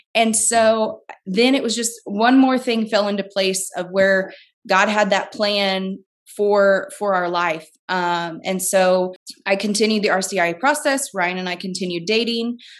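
In an American accent, this is a plain, everyday voice. It moves fairly slowly, with ordinary pitch variation. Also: woman, medium pitch for a woman. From US Midwest, southern Illinois. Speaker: stay-at-home mom. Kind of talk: casual chat.

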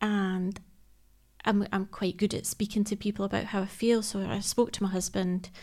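On a very clean recording with a silent background, a woman with a Scottish accent sounds somewhat breathy and speaks in a monotone, flat way. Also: medium pitch for a woman, moderate pace. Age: 30s. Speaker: emergency services worker and charity ambassador. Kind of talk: interview about personal health.

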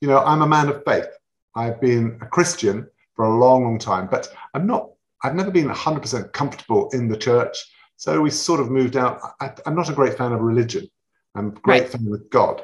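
Somewhat breathy, a man with a London accent speaks at medium pitch and a moderate pace, his intonation lively. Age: 50s. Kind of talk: casual chat.

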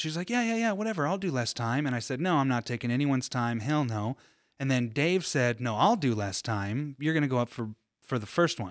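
On a very clean recording with a silent background, a man with an unremarkable speaking voice and an American accent talks fairly quickly at medium pitch with lively intonation. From California. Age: 30s. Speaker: stand-up comedian. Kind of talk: casual chat.

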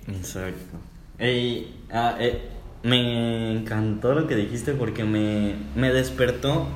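A man at a very slow pace, with audible room echo. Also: medium pitch for a man, ordinary pitch variation. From Mexico. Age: 20s. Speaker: podcast co-host, psychology student. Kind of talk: casual chat.

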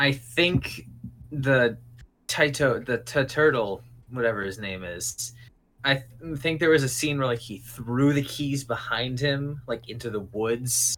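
Using an ordinary speaking voice, a man talks at medium pitch and a fairly slow pace with ordinary pitch variation. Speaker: podcaster guest. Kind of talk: casual chat.

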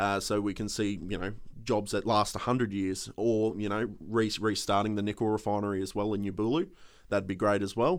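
Over a quiet background, the speaker talks at a fairly quick pace with an Australian accent and fairly even intonation. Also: man, fairly low pitch for a man. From Australia, Queensland (Townsville). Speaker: political candidate. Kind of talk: interview. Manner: halting.

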